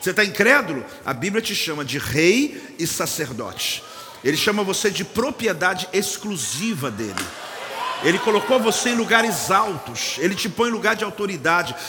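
In an animated tone, a high-pitched man projects a raised voice at a moderate pace with very wide pitch swings, amid noticeable background noise and audible room echo. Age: 50s. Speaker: pastor. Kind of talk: sermon.

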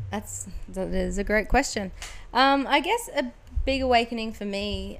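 Moderate pacing from a woman with an Australian accent. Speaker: actress. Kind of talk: casual interview.

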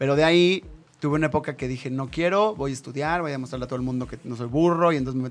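Very fast speech from a man at a medium pitch, the pitch varying in an ordinary way. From northern Mexico. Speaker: actor and radio host. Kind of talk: casual chat.

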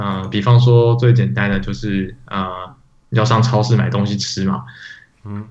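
Audible room echo surrounds a man speaking at a fairly slow pace with lively intonation. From Taiwan. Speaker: podcast co-host, iOS developer. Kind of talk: casual chat.

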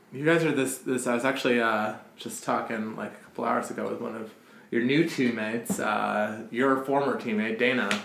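A man's fairly even intonation with big swings in loudness, over noticeable background noise. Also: medium pitch for a man, moderate pace. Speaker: podcast host. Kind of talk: casual chat. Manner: casual, joking.

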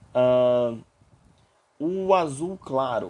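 A man speaks with a Brazilian accent. His tone is dark and mellow. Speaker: university chemistry lecturer. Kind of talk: lecture. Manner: halting.

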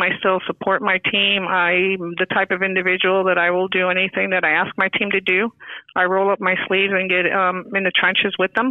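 A woman speaks with an American accent. Noticeable background noise sits behind her. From New York. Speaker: financial services manager and volunteer. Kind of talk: podcast interview.

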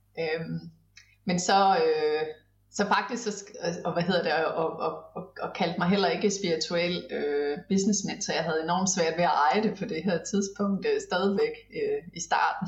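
A woman speaks at a fairly slow pace with fairly even intonation. Noticeable background noise runs under her voice. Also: medium pitch for a woman. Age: 40s. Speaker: business mentor. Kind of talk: casual interview chat.

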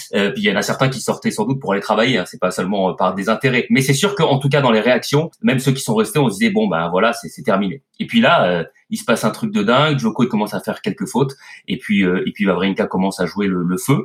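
A man talks at a very fast pace in a medium pitch, his intonation lively. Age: 40s. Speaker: tennis commentator. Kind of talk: casual chat.

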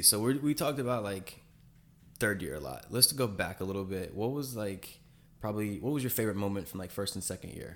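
Here is a plain, everyday voice from a man with a fairly low pitch. He talks at a fairly quick pace with lively intonation. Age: 20s. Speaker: podcast host, medical student. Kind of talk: casual chat.

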